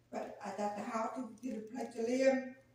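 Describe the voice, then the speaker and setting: A woman talks at a moderate pace with fairly even intonation. Room echo is audible. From Arkansas. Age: 60s. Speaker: passerby. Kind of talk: casual chat.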